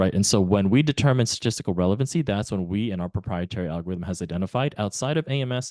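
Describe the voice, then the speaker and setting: A man with a very deep, low, dark and mellow voice talks very fast with lively intonation. The sound is dry and close with no echo, over a quiet background. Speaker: software company representative. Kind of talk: webinar presentation.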